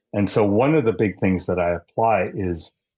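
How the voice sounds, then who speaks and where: Speaking with ordinary pitch variation, a man talks in a very deep, low pitch. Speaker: lean continuous improvement instructor. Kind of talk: interview conversation. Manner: passionate, animated.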